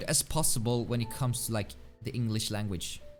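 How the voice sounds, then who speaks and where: A speaker with a Swedish accent talks over music in the background. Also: man. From Sweden. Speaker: video game streamer. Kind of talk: live game stream commentary. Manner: fast; thinking out loud.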